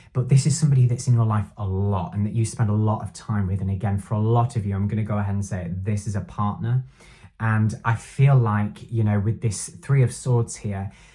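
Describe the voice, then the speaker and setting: A man's somewhat breathy, fairly low-pitched voice at a fairly quick pace, on a very clean recording with a silent background. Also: ordinary pitch variation. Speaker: tarot reader. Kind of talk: tarot reading monologue. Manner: halting, filler-heavy.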